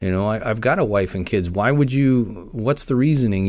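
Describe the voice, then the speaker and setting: A man speaks in an ordinary speaking voice with a fairly low pitch and an American accent. His pace is moderate. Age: 50s. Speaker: law enforcement officer. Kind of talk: interview, personal story.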